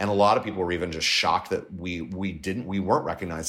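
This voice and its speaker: With a Californian accent, a man speaks at a very deep, low pitch with ordinary pitch variation. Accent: Californian American. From Southern California. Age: 40s. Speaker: LGBTQ Republican organization leader. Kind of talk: interview. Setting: remote from home.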